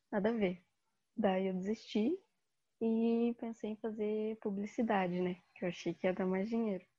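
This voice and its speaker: Here a woman talks with a somewhat breathy quality. Her pitch is fairly high. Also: fairly even intonation, moderate pace. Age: 20s. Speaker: design student. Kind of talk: casual chat.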